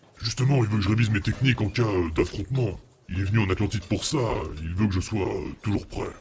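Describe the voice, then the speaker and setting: A man talks in a put-on character voice, pitched fairly low. He speaks very fast but leaves long, frequent pauses. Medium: actual play. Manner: casual, colloquial.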